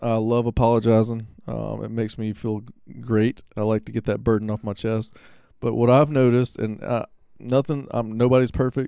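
Over a quiet background, a man talks at a medium pitch in a dark, mellow tone with monotone, flat intonation. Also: moderate pace. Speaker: podcast co-host. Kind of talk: casual chat.

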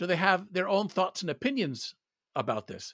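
Raised and projected, a man's high-pitched voice with an American accent comes across bright and sharp at a fairly quick pace, in a dry, close sound with no echo on a very clean recording with a silent background. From US South (Atlanta, Georgia). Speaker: translator and former corporate PR manager. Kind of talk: interview conversation.

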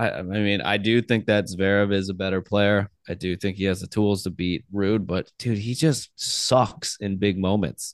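A man with an American accent speaks at a moderate pace in a normal speaking voice, fairly low in pitch with fairly even intonation and hardly any pauses. The sound is dry and close, with no echo. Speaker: podcast co-host. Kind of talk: casual chat.

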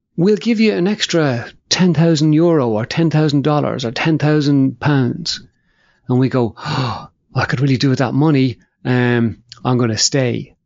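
A man talks at a moderate pace in an unremarkable speaking voice. His loudness stays very even. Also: fairly high pitch for a man, ordinary pitch variation. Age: 50s. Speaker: podcast host. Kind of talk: casual chat.

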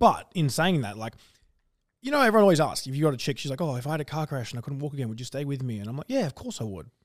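A man with an Australian accent talks at a very fast pace and a fairly high pitch, with lively intonation. The recording is very clean, with a silent background. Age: 20s. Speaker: podcast host. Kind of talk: casual chat.

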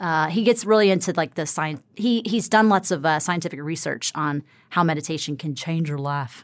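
An ordinary speaking voice from a woman with an American accent, fairly low in pitch, lively in intonation, at a fairly quick pace, in a very clean recording with a silent background. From US South. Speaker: writer, producer and actress. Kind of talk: casual chat.

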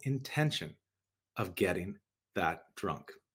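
Vocal fry colors the voice, which moves at a fairly slow pace with very wide pitch swings. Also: man. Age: 40s. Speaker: podcast host and wellness coach. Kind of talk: solo podcast talk.

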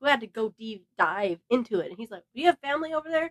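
A woman with an American accent speaks at a very fast pace in a high pitch, her tone bright and sharp, her pitch swinging very widely, in a dry, close sound with no echo. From Southern California. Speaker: host's sister, bride-to-be. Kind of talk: casual chat. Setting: her bedroom, makeshift studio.

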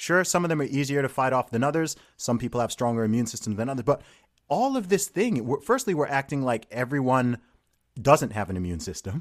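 A man speaks with an American accent and lively intonation, recorded very cleanly against a silent background. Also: medium pitch for a man, fairly quick pace. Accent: slight British, mostly American-sounding. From Saudi Arabia and UK. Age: 30s. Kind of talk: casual interview chat.

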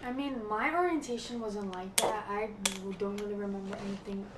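Amid noticeable background noise and audible room echo, a woman with an American accent speaks at a medium pitch and a moderate pace with fairly even intonation. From New Jersey. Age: college freshman. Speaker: college student. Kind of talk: casual chat.

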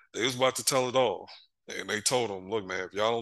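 Over a quiet background, a man talks at a fairly quick pace with a bright, sharp tone, medium pitch and ordinary pitch variation. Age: 40s. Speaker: sports podcast co-host. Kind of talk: casual chat. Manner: animated.

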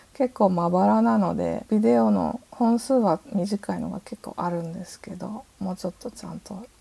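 A woman speaks at a moderate pace, her pitch swinging very widely and her loudness shifting a lot. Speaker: artist and writer. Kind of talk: interview.

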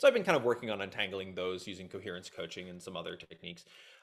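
Vocal fry marks this man's voice. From Nova Scotia, Canada. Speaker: systems designer and software founder. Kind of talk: casual interview. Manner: halting, many fillers.

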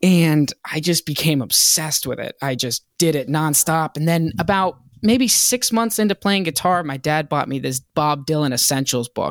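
With an American accent, a man uses a normal speaking voice at fairly high pitch, moving at a moderate pace with hardly any pauses and lively intonation, in a dry, close sound with no echo on a very clean recording with a silent background. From Virginia (Hampton), US South. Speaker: rock band singer. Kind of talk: casual interview chat.

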